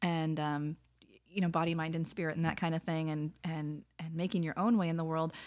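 A woman talks at a fairly quick pace with a fairly low pitch and monotone, flat intonation. The recording is very clean, with a silent background. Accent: American. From Wisconsin. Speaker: podcast co-host. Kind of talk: casual chat.

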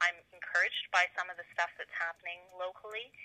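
A woman's fairly low voice with an Ontario accent, bright and sharp in tone, at a fairly quick pace, in a dry, close sound with no echo. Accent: Canadian (Ontario). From Cobourg, Ontario, Canada. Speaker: lawyer and political candidate. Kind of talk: interview.

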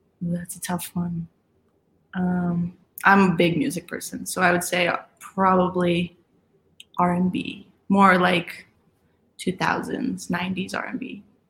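A woman with an American accent speaks at medium pitch with fairly even intonation. Her pace is very slow, with long, frequent pauses. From Colorado, Aurora. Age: 20s. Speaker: college soccer player. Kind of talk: casual interview.

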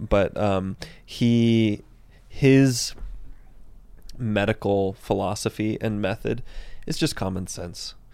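A man speaks in an American accent at a very slow pace, with a fairly low pitch and a dark, mellow tone. His intonation is fairly even, broken by long, frequent pauses, on a very clean recording with a silent background. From Central Texas. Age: 20s. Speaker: professional mountain bike racer. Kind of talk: casual chat. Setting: studio.

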